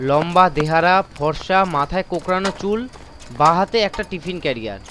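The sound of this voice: The tone is bright and sharp, carried by lively intonation. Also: man, high pitch for a man, moderate pace.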